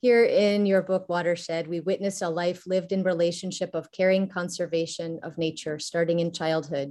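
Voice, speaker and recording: A woman's fairly low, dark, mellow voice with an American accent, fairly even intonation, a moderate pace and hardly any pauses. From Texas. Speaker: university teacher and poet. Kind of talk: prepared response read aloud. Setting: video call.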